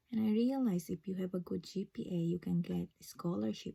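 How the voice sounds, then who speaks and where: Her voice is somewhat breathy with a dark, mellow tone, as the woman speaks at a medium pitch with ordinary pitch variation. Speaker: registered nurse. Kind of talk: personal vlog story. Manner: halting, many fillers.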